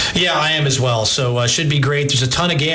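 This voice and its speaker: A man at a very fast pace with fairly even intonation, over noticeable background noise. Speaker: sports radio host. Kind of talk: sports talk radio. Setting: radio studio.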